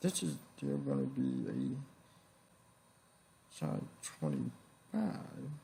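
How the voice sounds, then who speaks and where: A man talks over noticeable background noise. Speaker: math problem solver, solo channel host. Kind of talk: casual talk to camera, working through problems aloud. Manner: soft-spoken, quiet, thoughtful.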